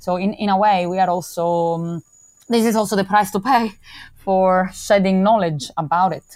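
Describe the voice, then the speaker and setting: With an Italian accent, a woman talks at a moderate pace and medium pitch, her intonation fairly even. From Calabria, southern Italy. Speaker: criminology author and researcher. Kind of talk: interview.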